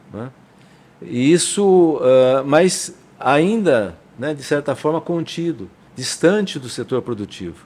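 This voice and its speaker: A man talks at a very slow pace with lively intonation. His loudness swings a lot. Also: fairly high pitch for a man, very clean recording, silent background. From São Paulo, Brazil. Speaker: state government industrial development official, engineer. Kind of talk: interview. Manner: halting.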